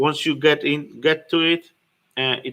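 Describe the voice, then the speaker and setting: A man speaks fairly slowly with a non-native accent. His tone is bright and sharp. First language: not English. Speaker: business owner and fitness studio co-founder. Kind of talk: livestream tutorial. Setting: livestream. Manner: halting, many fillers and restarts.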